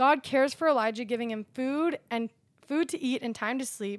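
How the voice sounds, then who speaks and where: A woman has an unremarkable speaking voice, with ordinary pitch variation and a moderate pace. The very clean recording has a silent background and a dry, close sound with no echo. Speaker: barista and social media coordinator sharing testimony. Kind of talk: personal testimony; reading scripture aloud.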